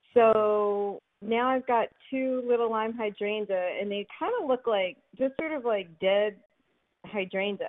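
Speaking fairly slowly in an American accent, a woman uses an ordinary speaking voice, fairly high in pitch with ordinary pitch variation. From Philadelphia. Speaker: caller. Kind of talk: call-in question. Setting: phone call.

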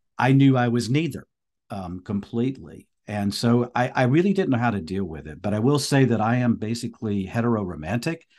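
A man has a normal speaking voice at medium pitch with lively intonation. He talks at a fairly quick pace against a quiet background. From US South, North Carolina. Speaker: priest and speaker. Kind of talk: interview testimony.

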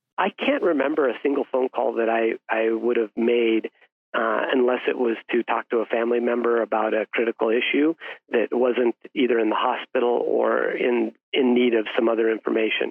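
A man with a plain, everyday voice speaks at medium pitch and a moderate pace, with fairly even intonation and very even loudness. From Colorado. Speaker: physician. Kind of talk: interview.

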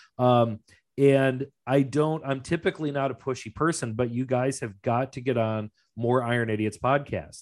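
At a moderate pace and with ordinary pitch variation comes an ordinary speaking voice. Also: man, medium pitch for a man. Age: 40s. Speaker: podcast host. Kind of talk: casual interview chat.

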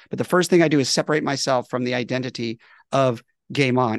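Vocal fry marks this man's voice. He talks at a very fast pace. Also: dry, close sound with no echo. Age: 50s. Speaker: communication trainer, company founder. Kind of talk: casual chat. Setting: video call. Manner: animated.

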